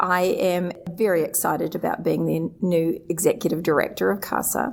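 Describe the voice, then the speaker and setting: A New Zealand accent at a moderate pace, with hardly any pauses, very even loudness and noticeable background noise. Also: woman. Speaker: surgery center administrator, association executive director. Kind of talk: interview. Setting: live at a conference.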